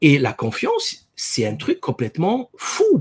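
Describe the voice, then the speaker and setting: A man speaks in a somewhat breathy voice. The sound is dry and close, with no echo. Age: 40s. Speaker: dentist and author. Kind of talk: interview. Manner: hesitant, many fillers and repetitions.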